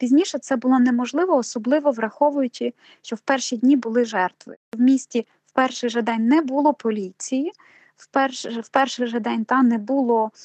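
At a moderate pace, a woman speaks in a high voice with a dry, close sound and no echo. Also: ordinary pitch variation. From southern Ukraine, Nova Kakhovka (Kherson region). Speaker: university program director. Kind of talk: interview.

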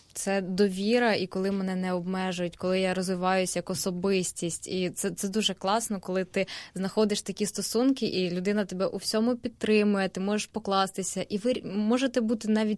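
A woman's normal speaking voice at medium pitch, fairly even intonation and a moderate pace, over a quiet background. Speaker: university student. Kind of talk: radio panel discussion. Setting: radio studio.

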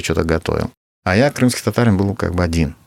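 At a fairly quick pace, a man with a very deep, low pitch speaks in a Crimean accent, the sound dry and close with no echo. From Uzbekistan (Crimean Tatar family). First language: Crimean Tatar (speaking Russian). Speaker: battalion commander, soldier. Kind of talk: interview testimony. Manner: halting.

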